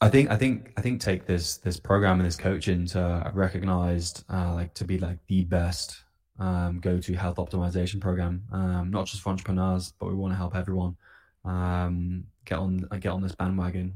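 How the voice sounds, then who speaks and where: Very deep and low, a man's voice comes through in a British accent at a moderate pace. His intonation is monotone and flat, on a very clean recording with a silent background. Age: 20s. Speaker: health coach. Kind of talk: casual interview.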